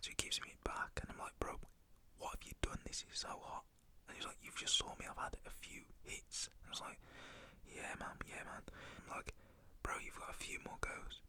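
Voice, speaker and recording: A whispered voice moving at a moderate pace. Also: man. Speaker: ASMR storyteller. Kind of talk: ASMR storytime, casual personal anecdote. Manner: whispered, conversational.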